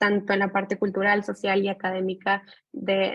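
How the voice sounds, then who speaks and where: With music playing behind her, a woman talks at a medium pitch in a flat, monotone way. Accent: Mexican. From Mexico. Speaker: graduate student. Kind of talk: thesis presentation.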